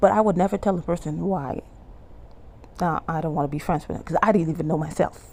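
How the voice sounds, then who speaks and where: Fairly low in pitch, a woman talks at a very fast pace with a Bahamian accent. Her intonation is fairly even. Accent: Bahamian-tinged English. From Bahamas. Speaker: YouTuber and life coach. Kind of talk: testimony. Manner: conversational, halting with self-corrections.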